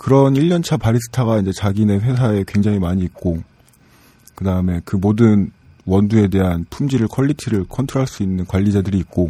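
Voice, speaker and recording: Talking at a fairly quick pace, a man has a fairly low pitch and a dark, mellow tone. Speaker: cafe team leader, coffee expert. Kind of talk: casual chat, drinking session. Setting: studio.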